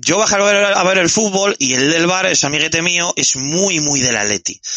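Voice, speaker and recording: The man's pitch is high and his intonation lively. He keeps a moderate pace. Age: 30s. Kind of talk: casual chat.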